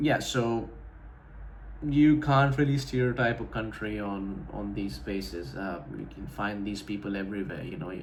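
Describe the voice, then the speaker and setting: A somewhat breathy man speaks at a fairly low pitch with very wide pitch swings. His loudness swings widely, and audible room echo surrounds him. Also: moderate pace. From India, Delhi NCR. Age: 20s. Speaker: vlogger. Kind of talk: casual vlog monologue. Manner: casual, with frequent fillers and repetitions.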